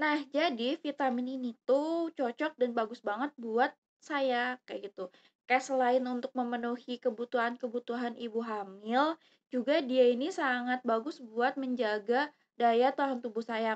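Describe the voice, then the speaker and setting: In a dry, close sound with no echo, a woman speaks at a high pitch with fairly even intonation. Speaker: YouTuber. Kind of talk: product review vlog. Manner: casual, hesitant with fillers.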